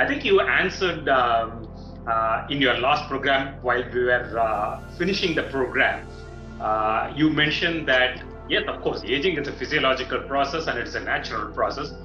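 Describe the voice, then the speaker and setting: Over clear music in the background, a man speaks at a moderate pace with ordinary pitch variation. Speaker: show host. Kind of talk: interview question. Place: home room. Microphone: video call.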